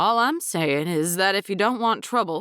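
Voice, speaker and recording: Using a put-on, gruff character voice at a medium pitch, a woman speaks at a moderate pace with lively intonation and very even loudness. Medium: read story. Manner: gruff, blustery.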